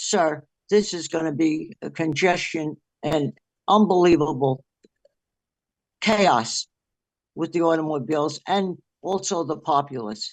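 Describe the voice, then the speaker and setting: A woman's very deep, low-pitched voice in a New Jersey accent, at a fairly slow pace with long, frequent pauses, over a quiet background. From Orange, New Jersey. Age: 80s+. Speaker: resident speaking at public hearing. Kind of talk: public comment at planning meeting. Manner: halting.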